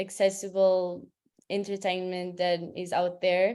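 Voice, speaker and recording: A fairly slow pace with a Portuguese accent. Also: woman. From Portugal. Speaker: translator. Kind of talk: webinar presentation.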